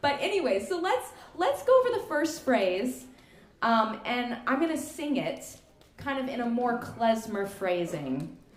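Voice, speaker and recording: With noticeable background noise and audible room echo, a woman speaks fairly slowly in a high voice that swings very widely in pitch. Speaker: klezmer musician leading a workshop. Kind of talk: music workshop instruction. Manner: casual, animated.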